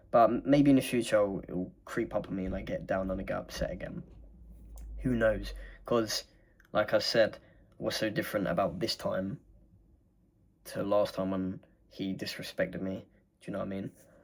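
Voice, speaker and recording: Long, frequent pauses mark this speech in an English accent. The recording is very clean, with a silent background. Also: man. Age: 20s. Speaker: vlogger. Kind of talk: casual monologue. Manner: fast.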